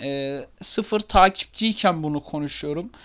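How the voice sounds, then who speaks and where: Delivered at a fairly slow pace with ordinary pitch variation, the speech comes through a very clean recording with a silent background. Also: man. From Turkey, Ankara. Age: 20s. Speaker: gaming YouTuber. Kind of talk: casual self-introduction to camera. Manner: hesitant, many fillers.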